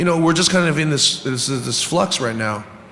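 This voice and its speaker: Fairly quick male speech with ordinary pitch variation, noticeable background noise behind it. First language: not English. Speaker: poker industry executive. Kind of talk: panel discussion.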